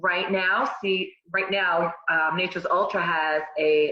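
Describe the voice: Slow in pace, a woman speaks with fairly low pitch.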